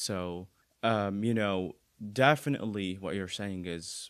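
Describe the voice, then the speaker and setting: On a very clean recording with a silent background, a man speaks at a fairly low pitch and moderate pace with ordinary pitch variation. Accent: Arabic. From Bahrain. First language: Arabic. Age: 20s. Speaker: university student with vision impairment. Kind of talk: casual interview. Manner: halting, many fillers.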